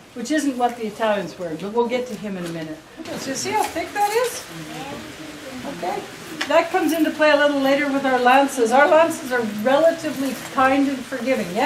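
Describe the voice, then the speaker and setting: With noticeable background noise, a woman speaks in a high pitch at a fairly quick pace, her upbeat, enthusiastic tone carrying very wide pitch swings between long, frequent pauses. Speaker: jousting troupe captain. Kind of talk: guided tour talk to visitors.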